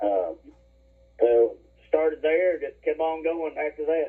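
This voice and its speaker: A man speaks with an Alabama accent. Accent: Southern US (Alabama). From Alabama, moved from West Virginia at seven. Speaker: hunter. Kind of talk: casual chat. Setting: at home, remote call. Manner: hesitant, many fillers.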